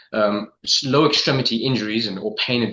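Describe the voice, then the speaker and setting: Speaking at a very fast pace, a man with an English accent has a fairly low pitch, a bright, sharp tone and fairly even intonation. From London, England. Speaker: podiatrist. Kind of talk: interview. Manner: halting, many fillers and repetitions.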